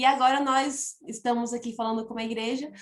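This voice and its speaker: With a northeastern Brazilian accent, a woman speaks at a moderate pace in a high pitch with ordinary pitch variation. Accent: noticeable northeastern Brazilian. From Piauí, northeastern Brazil. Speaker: missionary. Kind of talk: church testimony.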